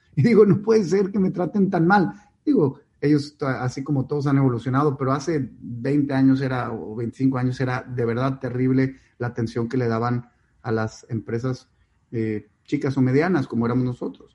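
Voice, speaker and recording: A somewhat breathy man's voice, dark and mellow in tone, at medium pitch with ordinary pitch variation. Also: moderate pace. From Mexico, Mexico City and Monterrey. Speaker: company founder and CEO. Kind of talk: interview. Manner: animated.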